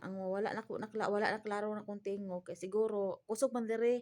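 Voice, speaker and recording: Soft-spoken and fairly high-pitched, a woman talks at a moderate pace against a quiet background. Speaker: vlogger, domestic helper abroad. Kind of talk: casual vlog talk. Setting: indoors in a room.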